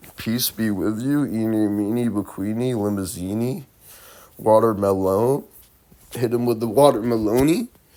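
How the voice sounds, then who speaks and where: A man speaks at a fairly slow pace in a dark, mellow tone. The recording is very clean, with a silent background. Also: medium pitch for a man. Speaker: vlogger. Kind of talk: casual monologue vlog. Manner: loud; animated.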